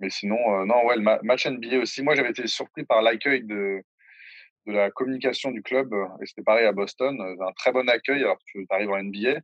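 With ordinary pitch variation and a moderate pace, this is an unremarkable speaking voice. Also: man, medium pitch for a man. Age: 20s. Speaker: sports video creator. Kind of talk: casual interview.

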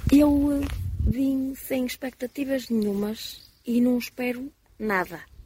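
In a high voice with ordinary pitch variation, a woman speaks at a very slow pace. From Portugal, Porto. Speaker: pilgrim. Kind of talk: live radio interview.

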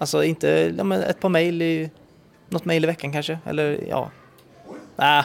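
With music in the background, a man's words unfold at a moderate pace. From western Sweden, Uddevalla. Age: 30s. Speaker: TV presenter and YouTuber. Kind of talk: casual interview.

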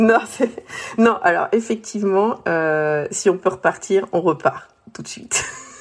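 Speaking very slowly, a woman lets her pitch vary in an ordinary way. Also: medium pitch for a woman. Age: 40s. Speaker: returned expat interviewee. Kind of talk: casual interview chat.

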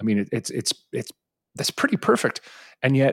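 On a very clean recording with a silent background and a dry, close sound with no echo, a man with an American accent talks very fast with lively intonation. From Edison, New Jersey, US. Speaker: podcast host, arms control expert. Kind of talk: interview.

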